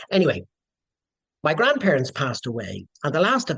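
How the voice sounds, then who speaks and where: A man talks at a very fast pace. He has a Dublin accent. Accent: Dublin Irish. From Dublin, Ireland. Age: 60s. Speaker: descendant of historical figure, writer and lecturer. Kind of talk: podcast interview storytelling.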